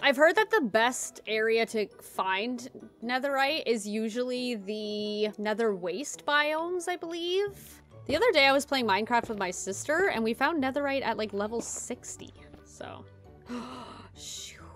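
A high-pitched woman at a fairly slow pace, faint music in the background. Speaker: gaming video creator. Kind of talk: casual gameplay commentary. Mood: playful, a little nervous.

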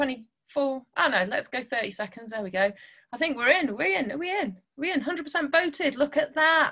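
Over a quiet background, a woman talks at a fairly slow pace in a raised, projected voice with lively intonation and a bright, sharp tone. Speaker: guest. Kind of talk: online talk to children. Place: home room. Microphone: webcam.

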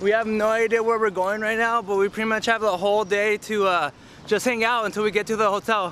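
Talking at a very fast pace, a man has a high pitch, a bright, sharp tone and monotone, flat intonation, recorded dry with no echo over light background noise. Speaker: vlogger. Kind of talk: casual vlog chat. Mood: playful, joking. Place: street. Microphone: phone near.

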